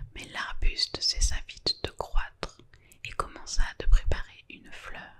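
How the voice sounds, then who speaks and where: A woman whispers at a very slow pace, her loudness swinging widely. Noticeable background noise sits behind her. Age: 20s. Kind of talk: whispered bedtime book reading. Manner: whispered.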